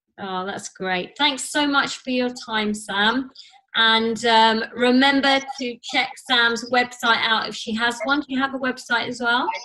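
Noticeable background noise accompanies a woman speaking at a high pitch. Her pace is fairly slow and her intonation fairly even. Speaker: podcast host, fitness professional. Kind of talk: interview.

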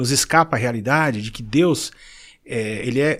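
A man speaks in a normal speaking voice, fairly high in pitch, with lively intonation. His pace is fairly slow, and the recording is very clean with a silent background. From Brazil, São Paulo city. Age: 50s. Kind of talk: casual chat.

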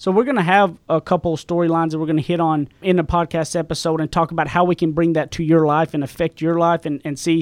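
Speaking with a Southern US accent, a man talks at a high pitch and a very fast pace with hardly any pauses and fairly even intonation. The recording is very clean with a silent background and a dry, close sound with no echo. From East Texas, rural. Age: young. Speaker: podcast co-host, author, salesman. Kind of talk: casual chat. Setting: studio.

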